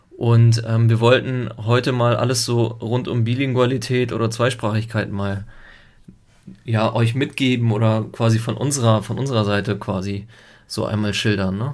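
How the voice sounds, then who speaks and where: A man speaks at medium pitch and a moderate pace in monotone, flat intonation. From Italy until age 7, then Germany. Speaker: podcast co-host, father. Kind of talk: casual chat.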